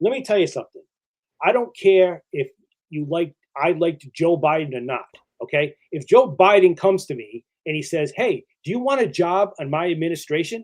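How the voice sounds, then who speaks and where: A man in a Boston accent talks at a moderate pace with a high pitch. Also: lively intonation. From New England (Boston area). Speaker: podcast guest, wrestling fan. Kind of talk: casual chat. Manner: halting, many false starts and fillers.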